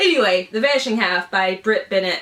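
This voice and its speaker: With a Southern US accent and fairly high pitch, a woman speaks in lively intonation over noticeable background noise. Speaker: book YouTuber. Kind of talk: casual unboxing vlog. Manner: animated.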